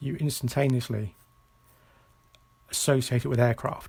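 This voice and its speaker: The man's voice is somewhat breathy. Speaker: illustrator demonstrating starship design. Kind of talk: live-streamed drawing tutorial. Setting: live stream. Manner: mumbling, halting.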